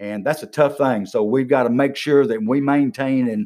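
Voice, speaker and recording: A man talks in an Alabama accent. His pitch variation is ordinary. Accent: US Southern (Alabama). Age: 60s. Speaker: county commission candidate, retired regional manager. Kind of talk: casual interview. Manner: energetic.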